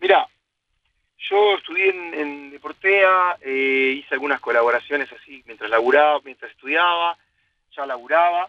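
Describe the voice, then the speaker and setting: A man at a moderate pace and fairly high pitch, ordinary pitch variation and big swings in loudness. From Argentina, Buenos Aires area. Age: 40s. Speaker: sports journalist. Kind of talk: casual interview. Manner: halting.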